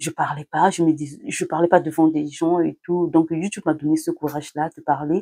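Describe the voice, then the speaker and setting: A woman speaks at a fairly slow pace in a fairly low pitch, her tone dark and mellow, with a dry, close sound and no echo. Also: very clean recording, silent background. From Congo (Central Africa). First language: a Congolese language (not French) (speaking French). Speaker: YouTuber, mother. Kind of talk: vlog talk to camera, partly read from notes. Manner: hesitant, many fillers and restarts.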